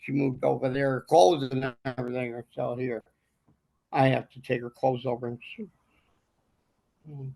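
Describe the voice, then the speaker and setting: A man of medium pitch uses a dark, mellow tone and fairly even intonation at a moderate pace, with long, frequent pauses, big swings in loudness, and a dry, close sound with no echo. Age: 70s. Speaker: landlord. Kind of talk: court hearing. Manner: halting.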